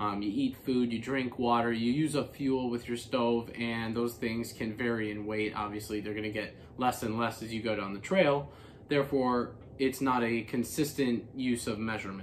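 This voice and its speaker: Over light background noise, a man speaks at a moderate pace with fairly even intonation. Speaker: hiker vlogger. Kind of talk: casual explainer vlog. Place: home room.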